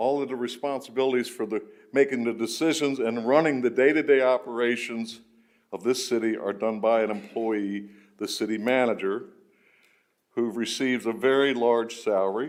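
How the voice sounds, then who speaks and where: A man talks at a moderate pace in a medium pitch with ordinary pitch variation, and audible room echo surrounds his voice. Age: 70s. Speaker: public commenter at city council. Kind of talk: public comment speech. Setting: council chambers.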